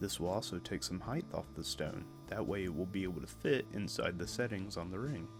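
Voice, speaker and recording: A soft-spoken man in a calm tone swings his pitch very widely, with music in the background. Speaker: lapidary hobbyist / gem cutter. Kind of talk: relaxing instructional narration. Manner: soft-spoken, calm.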